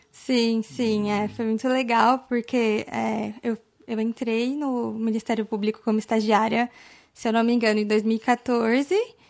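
A woman with a fairly high pitch talks fairly slowly, her intonation monotone and flat. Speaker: young lawyer. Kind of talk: casual interview chat. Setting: office set up as studio.

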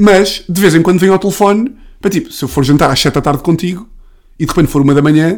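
Very fast delivery with lively, bouncing intonation. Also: man, high pitch for a man. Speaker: comedian. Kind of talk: casual chat.

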